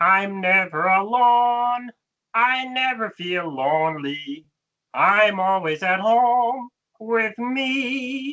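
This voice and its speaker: A female-sounding put-on character voice speaks at a fairly high pitch. The pace is very slow. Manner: worried.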